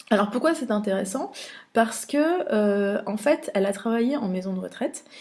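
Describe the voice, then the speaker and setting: Somewhat breathy, a woman speaks at a fairly high pitch with big swings in loudness. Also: lively intonation. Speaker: funeral industry news editor. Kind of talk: trade show recap vlog. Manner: fast; hesitant, many filler sounds.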